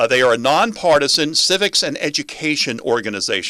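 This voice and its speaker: With a bright, sharp tone and lively intonation, this man talks at a moderate pace and a fairly high pitch. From New York City (Queens). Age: 60s. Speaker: radio talk show host. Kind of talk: talk radio. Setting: radio studio on camera.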